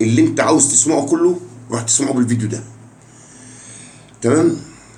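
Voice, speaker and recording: Male speech with normal pitch movement, clear room reverberation and audible background noise. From Jordan. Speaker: football fan YouTuber. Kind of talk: casual vlog monologue. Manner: animated.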